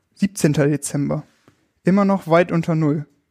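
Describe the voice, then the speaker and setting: A man's fairly high voice has a dark, mellow tone, recorded dry and close with no echo. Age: 20s. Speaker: youth work volunteer. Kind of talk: reading aloud.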